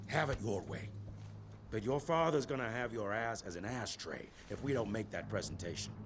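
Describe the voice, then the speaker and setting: A man puts on a gruff character voice at a medium pitch. He speaks at a moderate pace over clear background noise. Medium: short film. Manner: gruff, profane.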